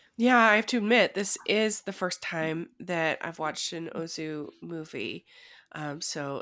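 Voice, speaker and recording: Recorded very cleanly against a silent background, a woman speaks with a bright, sharp tone. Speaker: podcast co-host. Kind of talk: casual conversation.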